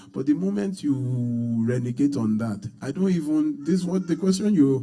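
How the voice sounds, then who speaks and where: A man with a dark, mellow tone speaks at a moderate pace with lively intonation. The room gives audible echo. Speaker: pastor. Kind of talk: sermon.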